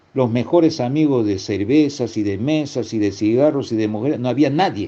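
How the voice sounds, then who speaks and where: This man has a medium pitch, ordinary pitch variation, and a moderate pace. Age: 60s. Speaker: preacher. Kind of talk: sermon. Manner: halting.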